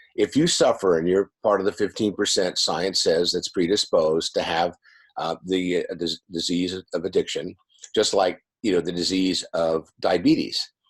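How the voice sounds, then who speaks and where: A man speaks at a moderate pace with an American accent. The sound is dry and close with no echo, on a very clean recording with a silent background. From US West Coast, San Diego California. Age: 60s. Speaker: addiction recovery coach and author. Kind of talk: interview.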